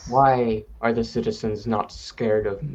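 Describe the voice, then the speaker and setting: At a moderate pace, a low-pitched, put-on character voice. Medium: actual play. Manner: blunt, confrontational.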